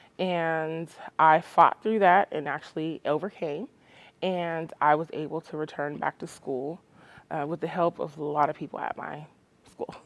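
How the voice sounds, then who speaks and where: A woman's very deep, low voice with big swings in loudness, a dry, close sound with no echo and a quiet background. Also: fairly even intonation, moderate pace. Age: 30s. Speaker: community college student. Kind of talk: testimony.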